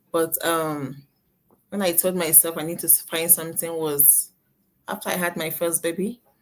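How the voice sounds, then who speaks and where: A woman's fairly low voice with a Nigerian accent, at a moderate pace, in a flat monotone. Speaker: nurse and online business owner. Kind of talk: live interview. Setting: live video stream.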